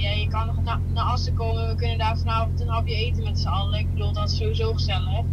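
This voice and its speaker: Loud background noise fills the clip. A man talks at a fairly quick pace. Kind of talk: casual phone conversation. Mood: relaxed, a bit puzzled. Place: car. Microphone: camera far.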